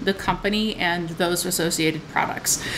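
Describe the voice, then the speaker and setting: Amid noticeable background noise, a woman speaks with ordinary pitch variation. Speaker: tea review vlogger. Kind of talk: casual vlog tea review. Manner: casual, with frequent filler words.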